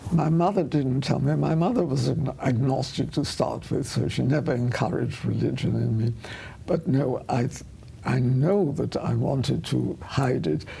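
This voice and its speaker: A woman with a German accent at a moderate pace, very even in loudness, with audible room echo. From Vienna, Austria, raised in England from childhood. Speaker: retired journalist, Holocaust survivor. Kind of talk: interview.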